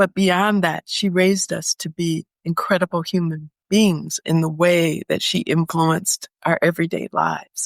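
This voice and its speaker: Speaking in an American accent with hardly any pauses, a woman with a fairly low voice keeps a moderate pace and a monotone, flat intonation, the sound dry and close with no echo. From US Midwest, Detroit. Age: 70s. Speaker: retired professional living abroad. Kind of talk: interview, life story.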